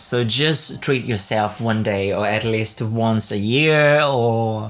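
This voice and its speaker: A man's medium-pitched voice at a very slow pace, with fairly even intonation over noticeable background noise. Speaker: podcast host. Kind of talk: casual solo monologue about travel. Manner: laughs often, hesitant, many fillers.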